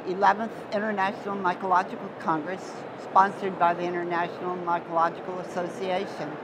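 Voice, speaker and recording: Noticeable background noise sits behind a woman talking at a fairly quick pace with monotone, flat intonation and a medium pitch. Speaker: mycologist, interviewer. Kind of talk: oral history interview.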